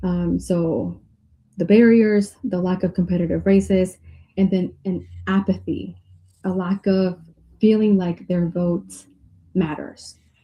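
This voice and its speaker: Dark and mellow in tone, a woman's somewhat breathy voice sits at a medium pitch with monotone, flat intonation. She talks at a fairly slow pace with long, frequent pauses. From Mexico, moved to US at age eight. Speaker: political candidate. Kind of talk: interview.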